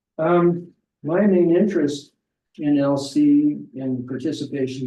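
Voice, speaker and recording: A man with an American accent, a dark, mellow tone and ordinary pitch variation. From Corvallis, Oregon. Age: 70s. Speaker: community council candidate. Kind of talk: self-introduction at public meeting.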